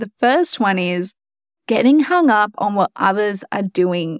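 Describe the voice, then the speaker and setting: At a fairly slow pace, a woman with a medium pitch sounds animated and upbeat in a dry, close recording with no echo. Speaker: podcast host and marketing coach. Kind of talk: pep talk, warm encouraging solo monologue. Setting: solo podcast. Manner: animated, upbeat, encouraging.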